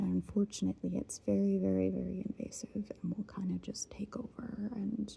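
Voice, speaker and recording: At a moderate pace, the voice comes across as soft-spoken. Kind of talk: casual talk to camera, ASMR rambling.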